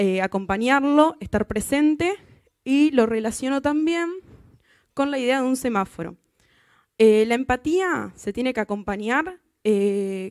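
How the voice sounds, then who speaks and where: Against a quiet background, a woman talks at a fairly slow pace with lively intonation. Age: 20s. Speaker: software tester; conference speaker. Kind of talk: conference talk. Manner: halting, many fillers. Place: hall. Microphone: handheld.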